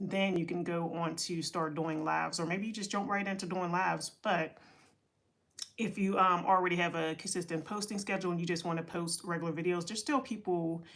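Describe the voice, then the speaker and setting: Speaking at a fairly quick pace with fairly even intonation, a woman with an American accent has a fairly low-pitched voice. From Pittsburgh, Pennsylvania (US). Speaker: content creator and entrepreneurship coach. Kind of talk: casual livestream talk. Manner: rambling, with many fillers and restarts.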